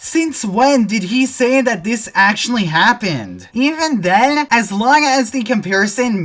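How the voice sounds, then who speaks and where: The speech has very wide pitch swings at a moderate pace. Music plays in the background. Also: woman. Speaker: commentary YouTuber. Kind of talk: scripted video commentary.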